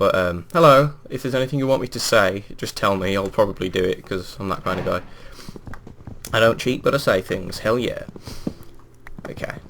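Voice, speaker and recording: A man with a West Midlands accent talks at a fairly quick pace and medium pitch, with lively intonation and long, frequent pauses. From England, West Midlands. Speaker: gaming video creator. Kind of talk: gameplay commentary. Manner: casual, hesitant with fillers.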